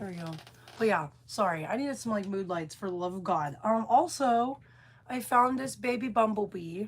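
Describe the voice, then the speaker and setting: A woman's medium-pitched, somewhat breathy voice, animated in tone, with lively intonation at a moderate pace. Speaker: burlesque performer and vlogger. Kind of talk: casual vlog chat.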